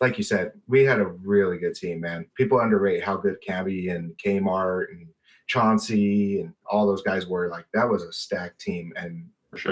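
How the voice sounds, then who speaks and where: A normal speaking voice with an American accent. It moves at a moderate pace with fairly even intonation. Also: man. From Colorado. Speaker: basketball fan commentator. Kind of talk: casual chat.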